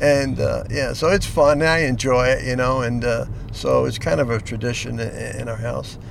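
A man speaks at a moderate pace against noticeable background noise and audible room echo. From Newark, New Jersey. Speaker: storyteller, retired businessman. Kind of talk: storytelling. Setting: in a car. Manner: hesitant with many fillers.

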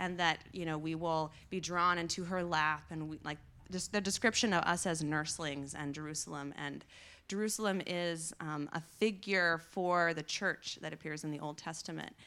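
An ordinary speaking voice from a woman, fairly low in pitch, at a moderate pace with fairly even intonation, on a very clean recording with a silent background. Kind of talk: panel discussion.

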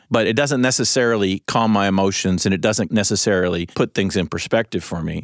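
A man with an ordinary speaking voice talks fairly quickly at a fairly low pitch, recorded dry and close with no echo and a very clean, silent background. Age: 50s. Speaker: lead pastor. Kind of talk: casual chat.

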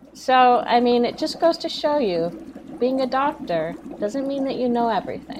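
A woman's high-pitched voice carries lively intonation over noticeable background noise. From Canada. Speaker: podcast guest, film commentator. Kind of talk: casual chat.

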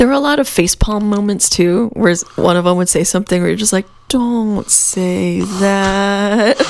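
Noticeable background noise sits under a woman's medium-pitched voice, which varies in pitch in an ordinary way. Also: moderate pace. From New Mexico. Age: 30s. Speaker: podcast co-host. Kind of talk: casual chat.

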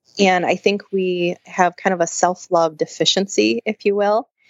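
A woman with an American accent speaks at a fairly slow pace, using an ordinary speaking voice. Her fairly low pitch shows ordinary pitch variation. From Michigan, near Grand Rapids. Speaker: naturopath and nutrition consultant. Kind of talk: interview.

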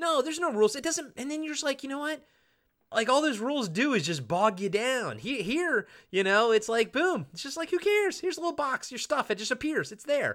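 Raised and projected, a man's bright, sharp voice moves at a fairly quick pace with very wide pitch swings on a very clean recording with a silent background. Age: 40s. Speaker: podcast co-host. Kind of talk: casual chat. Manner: animated.

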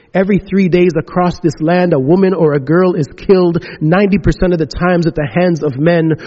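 A man with a high pitch, fairly even intonation and a moderate pace. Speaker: church minister. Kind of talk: reflection and reading aloud. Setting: church service.

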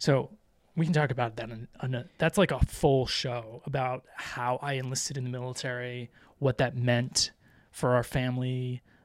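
A man with an American accent has a plain, everyday voice. He speaks at a moderate pace with a medium pitch. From Florida. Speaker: podcast host, parent. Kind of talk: casual chat.

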